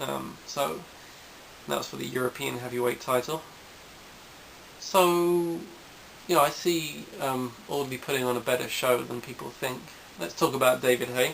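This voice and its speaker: A man speaks at a moderate pace with medium pitch and ordinary pitch variation. He leaves long, frequent pauses. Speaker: boxing video blogger. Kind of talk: casual monologue. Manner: halting, many fillers.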